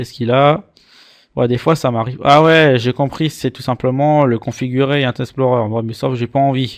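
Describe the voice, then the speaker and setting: In an Alsatian accent, a man talks at a fairly slow pace in a dry, close sound with no echo on a very clean recording with a silent background. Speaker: antivirus reviewer. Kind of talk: screen-recorded software tutorial. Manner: casual, playful.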